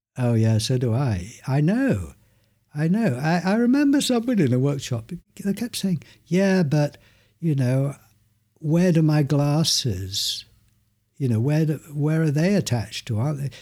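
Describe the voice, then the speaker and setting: On a very clean recording with a silent background, a man with a fairly high pitch and a dark, mellow tone speaks somewhat breathily at a moderate pace, making very wide pitch swings and taking long, frequent pauses. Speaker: meditation teacher. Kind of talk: interview conversation with guided experiments. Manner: calm, gentle.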